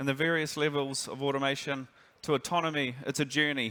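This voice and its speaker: Recorded very cleanly against a silent background, a man with a New Zealand accent speaks at a fairly quick pace in a bright, sharp, fairly high voice with fairly even intonation. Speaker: industry director. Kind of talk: conference presentation.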